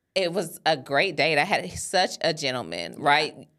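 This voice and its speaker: The speaker uses an animated tone. The recording is very clean, with a silent background. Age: 30s. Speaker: podcast co-host, Navy veteran. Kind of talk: casual chat.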